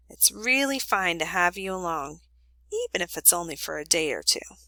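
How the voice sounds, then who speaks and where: A put-on character voice at a moderate pace, dry and close with no echo. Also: woman, fairly low pitch for a woman. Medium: read story. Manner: measured, earnest.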